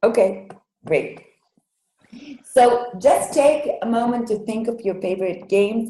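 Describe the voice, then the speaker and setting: A woman's somewhat breathy, dark, mellow tone with a non-native accent, at a fairly slow pace amid audible room echo. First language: Hebrew. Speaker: Hebrew language educator. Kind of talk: online workshop. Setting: video call webinar. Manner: halting, many fillers.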